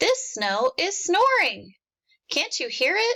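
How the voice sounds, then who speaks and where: A woman's put-on character voice, squeaky and extremely high, at a fairly slow pace. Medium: read story.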